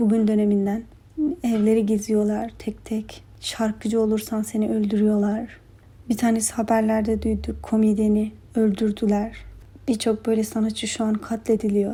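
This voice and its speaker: A woman's fairly high, somewhat breathy voice with a dark, mellow tone, monotone, flat intonation and a moderate pace. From Afghanistan, then southern Turkey. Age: 20s. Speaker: interior design student. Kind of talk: interview answers.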